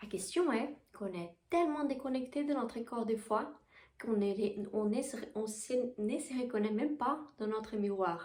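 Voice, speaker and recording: In a Portuguese accent, a woman talks at a fairly slow pace and a fairly high pitch. Her voice is somewhat breathy, with ordinary pitch variation. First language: Portuguese (speaking French). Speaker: spiritual coach and Reiki teacher. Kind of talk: casual spiritual vlog talk. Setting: bedroom. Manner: halting, with repetitions.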